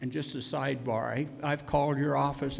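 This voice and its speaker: Audible room echo hangs on this man's voice. His pace is moderate. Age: 70s. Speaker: landowner. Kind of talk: public hearing testimony. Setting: public hearing.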